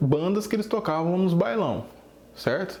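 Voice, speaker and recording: With a slight mineiro accent, a man speaks at a fairly slow pace. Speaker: drum teacher. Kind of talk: casual video talk.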